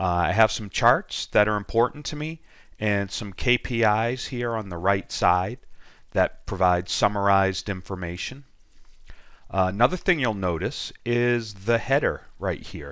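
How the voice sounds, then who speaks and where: A man with an American accent speaks at a fairly slow pace and a fairly low pitch, with ordinary pitch variation. The recording is very clean, with a silent background. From Boston, USA. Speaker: data analytics trainer. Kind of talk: software tutorial screencast. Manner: casual, with frequent ums and ahs.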